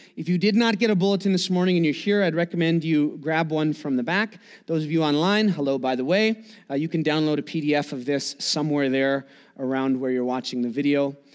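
It is quiet behind the speaker. A man talks fairly quickly, his pitch varying in an ordinary way. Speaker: pastor. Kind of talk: sermon. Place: church.

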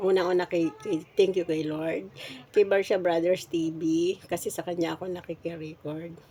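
Over noticeable background noise, a woman with a fairly low pitch talks at a fairly slow pace in a monotone, flat way. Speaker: vlogger. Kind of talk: casual vlog talk. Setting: at home eating breakfast.

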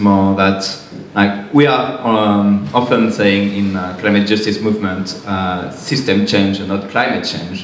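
Over light background noise and audible room echo, a man with a French accent and a fairly low pitch talks at a fairly slow pace. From France. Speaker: climate activist; panelist. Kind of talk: panel discussion. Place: hall.

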